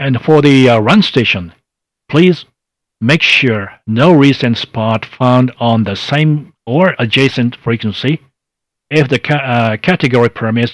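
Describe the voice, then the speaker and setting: Using a Japanese accent, a man talks at a fairly slow pace in a medium pitch with ordinary pitch variation. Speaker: amateur radio contest presenter. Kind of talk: online workshop presentation. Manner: halting, many fillers.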